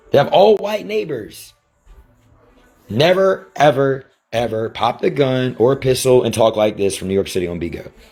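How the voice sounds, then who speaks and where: A man with an American accent, medium in pitch, animated in tone, with very wide pitch swings at a moderate pace over music in the background. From Virginia, US. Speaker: rapper and livestreamer. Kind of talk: livestream rant.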